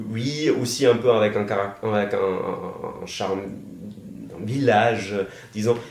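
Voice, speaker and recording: A man of medium pitch speaks at a very slow pace, with long, frequent pauses. Audible room echo and noticeable background noise fill the recording. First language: German (speaking French). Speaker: master's student. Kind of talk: casual chat. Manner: halting.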